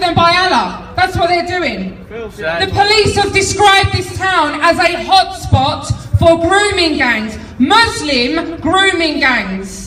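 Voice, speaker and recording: Amid audible room echo and noticeable background noise, a woman speaks at a fairly slow pace, her extremely high pitch carrying lively intonation. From London. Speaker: political activist speaker. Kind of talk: rally speech. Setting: outdoor march with crowd. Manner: loud; animated.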